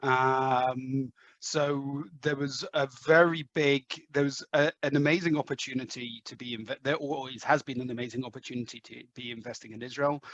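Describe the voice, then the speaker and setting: Delivered with an English accent at a moderate pace, the fairly even intonation sits in a dry, close sound with no echo. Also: man, medium pitch for a man. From London, England. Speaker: head of sales. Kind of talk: podcast interview. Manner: hesitant, many fillers.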